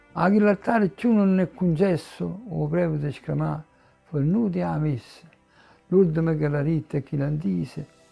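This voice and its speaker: Over music in the background, a man speaks in a Neapolitan accent. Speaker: poet reading own work. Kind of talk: poetry reading.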